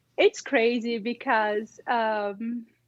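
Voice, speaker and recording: Very slowly and in a non-native accent, a woman talks with a high pitch. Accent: noticeable foreign accent in English. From Brazil. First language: Portuguese. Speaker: immigrant lawyer. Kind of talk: interview. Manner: halting.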